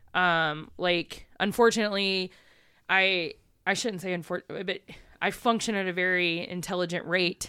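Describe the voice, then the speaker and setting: A woman with a Southern US accent speaks in a bright, sharp tone and fairly even intonation, on a very clean recording with a silent background. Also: medium pitch for a woman, moderate pace. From East Texas. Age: 30s. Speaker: photographer and community organizer. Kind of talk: casual chat.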